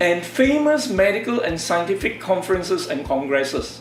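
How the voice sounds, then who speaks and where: Music plays in the background. The room echo is audible. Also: man. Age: 60s. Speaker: doctor and stem cell researcher. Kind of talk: presentation to camera. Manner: formal.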